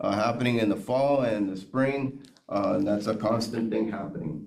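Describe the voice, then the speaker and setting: Noticeable background noise and audible room echo surround a man's voice. He speaks at a moderate pace with fairly even intonation. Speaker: school district administrator. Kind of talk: board presentation. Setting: school board meeting room.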